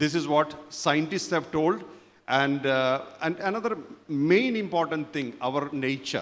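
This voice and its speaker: At a fairly slow pace, a man with a plain, everyday voice speaks at a fairly high pitch with ordinary pitch variation. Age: 60s. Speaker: spiritual teacher. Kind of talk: conference talk.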